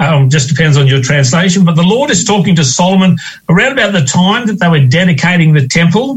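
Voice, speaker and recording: Speaking very fast with an Australian accent, a man keeps a high pitch and lively intonation. His loudness stays very even. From Western Australia. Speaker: co-host. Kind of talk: radio discussion, Bible reading and prayer. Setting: remote link from another city.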